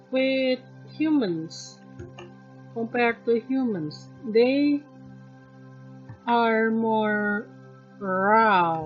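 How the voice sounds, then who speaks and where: Over music in the background, a woman speaks very slowly with a non-native accent and long, frequent pauses. Her fairly high voice has lively intonation. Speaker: artist. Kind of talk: casual rambling while sketching. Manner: hesitant, rambling.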